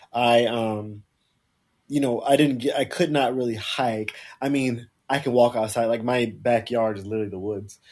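A man with an American accent speaks at a medium pitch and a moderate pace, with fairly even intonation. The recording is very clean, with a silent background. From South Carolina. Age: 30s. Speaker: blogger and actor. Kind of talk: casual chat.

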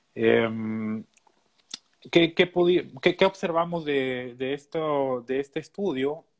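Ordinary pitch variation marks a man's speech. He goes at a very slow pace with long, frequent pauses. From Peru. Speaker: animal nutritionist and graduate student. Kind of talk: interview.

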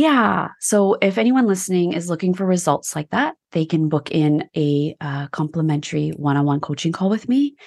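A woman at a fairly low pitch with lively intonation, at a moderate pace with hardly any pauses, in a dry, close sound with no echo. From Canada. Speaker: business coach. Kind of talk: casual interview chat. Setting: video call.

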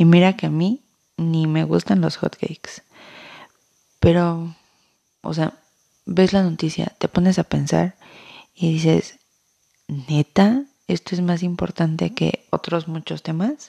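A woman's fairly low, dark and mellow voice with a Mexican accent, very slow with long, frequent pauses, ordinary pitch variation, and a dry, close sound lacking echo. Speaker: podcast host. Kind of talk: opinion monologue. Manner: casual, sarcastic.

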